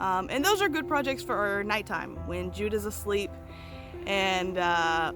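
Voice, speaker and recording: The speaker uses an American accent. Background music can be heard. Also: woman. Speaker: small farmer, homesteader. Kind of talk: casual talk to camera.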